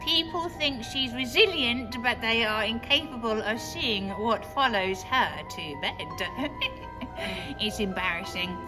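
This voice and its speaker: A female-sounding, put-on character voice speaks at a fairly slow pace and fairly high pitch over loud music in the background. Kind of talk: horror story reading. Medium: read story.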